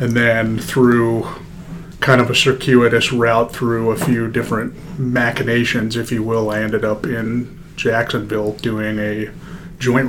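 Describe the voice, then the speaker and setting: At a moderate pace, a man with an American accent speaks at medium pitch with fairly even intonation, and room echo is audible. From Denver, Colorado. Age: 30s. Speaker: orthopaedic surgeon. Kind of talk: casual interview.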